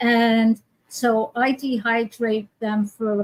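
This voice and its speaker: A woman with an American accent speaks in a fairly high, somewhat breathy voice. The sound is dry and close, with no echo. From New York. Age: 80s. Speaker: healer and teacher. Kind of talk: casual interview.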